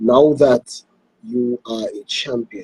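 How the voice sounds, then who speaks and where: The speaker has a Trinidadian accent. The sound is dry and close, with no echo. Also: man. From Trinidad and Tobago. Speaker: sports show host. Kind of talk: interview. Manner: halting.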